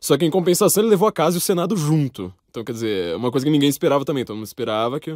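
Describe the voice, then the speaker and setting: In a very clean recording with a silent background, a man with a fairly high pitch speaks at a very fast pace with hardly any pauses, very wide pitch swings and big swings in loudness. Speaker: podcast host. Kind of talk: interview.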